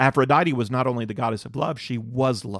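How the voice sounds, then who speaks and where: In a plain, everyday voice with an American accent, a man talks at a moderate pace and medium pitch, recorded dry and close with no echo. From North Carolina. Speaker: Bible teacher. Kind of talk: Bible teaching lecture.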